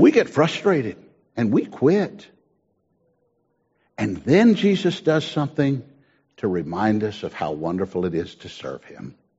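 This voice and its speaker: With vocal fry, a man talks at a fairly slow pace, taking long, frequent pauses, his pitch swinging very widely and his loudness shifting in big swings. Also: medium pitch for a man. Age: 70s. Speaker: pastor. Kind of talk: sermon.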